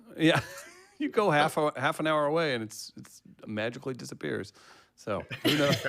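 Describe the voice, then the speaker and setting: A man with an American accent speaks at a moderate pace, fairly high in pitch, with vocal fry and ordinary pitch variation. His loudness swings widely, and he takes long, frequent pauses. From Missouri. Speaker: show host. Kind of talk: live show chat.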